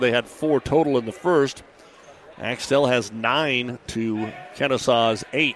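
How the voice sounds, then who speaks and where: A man with an American accent speaks with fairly even intonation as crowd noise runs in the background. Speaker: radio play-by-play announcer. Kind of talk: live play-by-play basketball commentary. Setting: radio broadcast from a gym. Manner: wry, folksy asides between plays.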